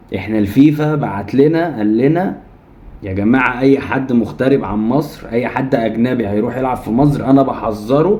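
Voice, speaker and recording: Noticeable background noise and audible room echo surround this recording. A man speaks at a moderate pace in a medium pitch with ordinary pitch variation. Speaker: football commentary YouTuber. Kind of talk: opinion rant to camera. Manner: heated, animated.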